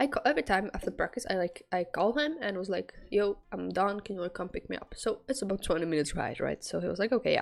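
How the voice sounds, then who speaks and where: Speaking at a very fast pace with a non-native accent, a woman hardly pauses at all. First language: not English. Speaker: student storyteller, streamer. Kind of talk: casual storytime monologue. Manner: halting, many fillers.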